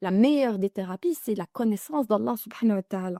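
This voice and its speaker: A woman talks at a fairly quick pace with a fairly high pitch and lively intonation. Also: dry, close sound with no echo. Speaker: religious teacher. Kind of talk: religious lesson to women. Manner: halting, repeats words.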